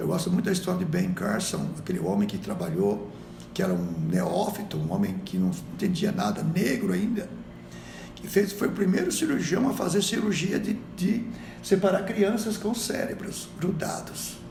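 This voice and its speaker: A man is speaking amid noticeable background noise. The room echo is audible. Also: moderate pace. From Brazil. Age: 60s. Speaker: missionary. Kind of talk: podcast interview. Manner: exhortative, preacher-like.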